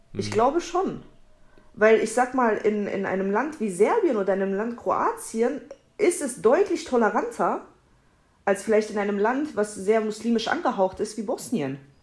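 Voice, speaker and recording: A woman's fairly high voice with very wide pitch swings, a moderate pace and noticeable background noise. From Germany, Kassel. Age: 20s. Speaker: podcast guest. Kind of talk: casual chat.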